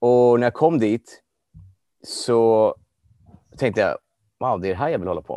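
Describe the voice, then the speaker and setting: With long, frequent pauses and big jumps in loudness, a man talks at a medium pitch in a dark, mellow tone, with ordinary pitch variation and a dry, close sound with no echo over a quiet background. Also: moderate pace. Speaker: life coach. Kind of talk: interview. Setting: video call. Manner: halting.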